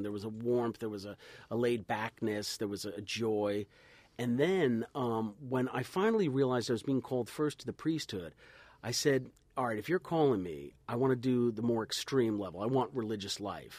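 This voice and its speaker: Recorded very cleanly against a silent background, a man with an American accent talks at a moderate pace in a medium pitch with lively intonation. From New Jersey, US. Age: 40s. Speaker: priest and radio host. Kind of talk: casual chat. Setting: studio.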